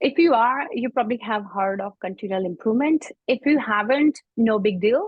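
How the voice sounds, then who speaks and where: A woman with a fairly high voice speaks with lively intonation. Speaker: IT service management consultant. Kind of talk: webinar presentation. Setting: online webinar. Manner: fast.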